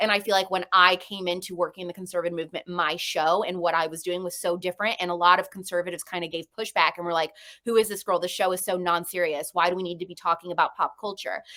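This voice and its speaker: Talking very fast in a flat monotone, a woman uses a fairly low pitch and a bright, sharp tone. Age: 20s. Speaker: conservative podcast host. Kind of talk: interview.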